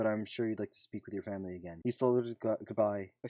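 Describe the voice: Someone reads out loud. The delivery is simple and plain.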